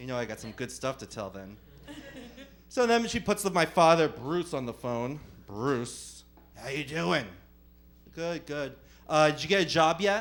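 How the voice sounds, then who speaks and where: A man's fairly high voice in a New Jersey accent at a moderate pace, with very wide pitch swings, big swings in loudness and long, frequent pauses. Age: 30s. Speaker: stand-up comedian. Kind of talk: stand-up. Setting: comedy club stage with audience. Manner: animated.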